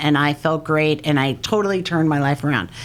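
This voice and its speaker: The speaker talks at a moderate pace in an unremarkable speaking voice. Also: woman. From New York (Long Island, Hamptons). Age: 50s. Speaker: prevention and recovery educator. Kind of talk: podcast interview.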